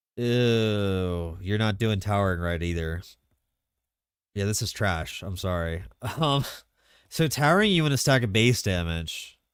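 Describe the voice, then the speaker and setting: A man's fairly low voice, fairly slow and full of long, frequent pauses, with lively intonation and audible room echo. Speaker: video game streamer. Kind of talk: live stream commentary. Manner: casual, animated.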